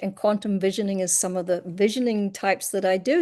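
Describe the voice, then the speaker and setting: A speaker with a New Zealand accent talks at a fairly quick pace over a quiet background. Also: woman. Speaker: hypnotherapist and coach. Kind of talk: self-introduction on video call.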